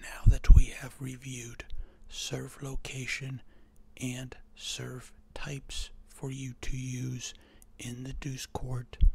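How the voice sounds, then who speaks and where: The soft-spoken, whispering speaker goes at a very slow pace, broken by long, frequent pauses. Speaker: tennis coach. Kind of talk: tennis strategy voiceover lesson. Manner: soft-spoken, occasionally whispered.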